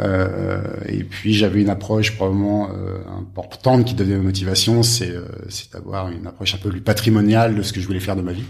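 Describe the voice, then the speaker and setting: A man's very deep, low, somewhat breathy voice, flat and monotone, at a fairly quick pace, with audible room echo. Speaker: hotel group executive. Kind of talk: interview. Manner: halting, many repetitions and fillers.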